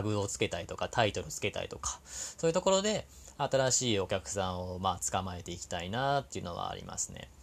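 A man talks at a very fast pace. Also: quiet background. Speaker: podcast host and labor-law consultant. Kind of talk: solo talk monologue. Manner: conscious of soft, gentle tone; many fillers, hesitant.

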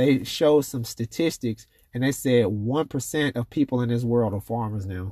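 A man's ordinary speaking voice at medium pitch, with ordinary pitch variation, a moderate pace, and a dry, close sound with no echo on a very clean recording with a silent background. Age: 30s. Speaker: podcast host. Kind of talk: casual chat.

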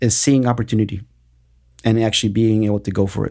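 A man with an American accent speaks at medium pitch in a dark, mellow tone with monotone, flat intonation. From Austin, Texas. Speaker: business owner. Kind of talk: interview.

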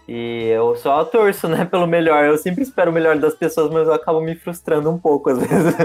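The talk moves at a fairly quick pace with hardly any pauses. Noticeable background noise sits behind it. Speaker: podcast host. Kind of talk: casual chat.

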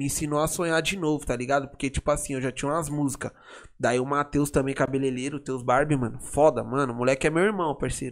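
A man with a fairly high pitch and fairly even intonation at a very fast pace, on a very clean recording with a silent background. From São Paulo, São Remo community. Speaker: funk MC. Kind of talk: casual interview.

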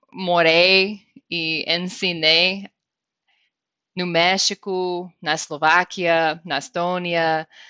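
A woman's very slow, monotone delivery with flat intonation and long, frequent pauses. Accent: American. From US, Wyoming. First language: English (speaking Portuguese). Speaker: director of a government English language office. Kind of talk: interview. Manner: halting, with fillers and repetitions.

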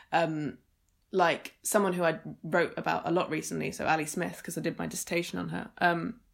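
Speaking at a fairly quick pace, a woman has a fairly low pitch with vocal fry. The recording is very clean, with a silent background. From Suffolk, East Anglia, England. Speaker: poet. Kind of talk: interview. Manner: hesitant, many fillers.

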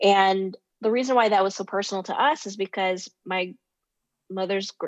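With an American accent, a woman at medium pitch speaks at a fairly quick pace with fairly even intonation. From United States. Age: 30s. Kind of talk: interview. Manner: hesitant, many fillers.

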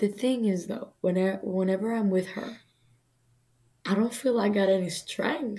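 A woman with a Greek accent at a moderate pace, with fairly even intonation and long, frequent pauses. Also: medium pitch for a woman. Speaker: guest co-host, college friend. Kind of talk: casual chat. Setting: video call.

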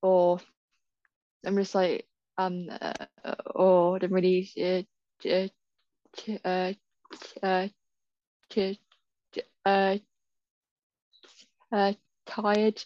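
A woman speaks at a very slow pace with long, frequent pauses and monotone, flat intonation. Her fairly low voice has a dark, mellow tone and a dry, close sound with no echo.

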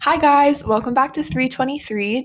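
A woman speaks with an American accent. Noticeable background noise runs behind her. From Texas. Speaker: podcast host. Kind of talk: podcast intro and outro; casual interview.

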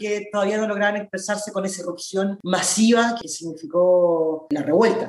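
Someone speaks with a Chilean accent over noticeable background noise. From Chile, southern Santiago (La Pintana). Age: 20s. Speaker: activist and political candidate. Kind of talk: interview.

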